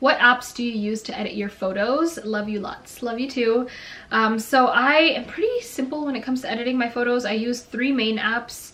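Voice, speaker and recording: Noticeable background noise sits behind a woman with a Canadian accent. Her voice is fairly high in pitch, fairly quick, with ordinary pitch variation. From Canada (Toronto). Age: 20s. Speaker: beauty and lifestyle YouTuber. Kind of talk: casual Q&A chat. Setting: bedroom.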